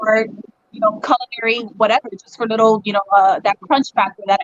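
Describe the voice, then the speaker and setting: In a dry, close recording with no echo, a woman speaks at a fairly high pitch with fairly even intonation. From US, Cuban-American family. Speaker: chef. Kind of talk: casual chat. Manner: fast.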